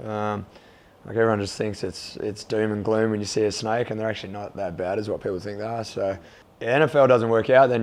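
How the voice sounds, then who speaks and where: Very fast speech with an Australian accent and fairly even intonation. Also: man. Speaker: college football punter. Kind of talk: casual interview. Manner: hesitant, many fillers.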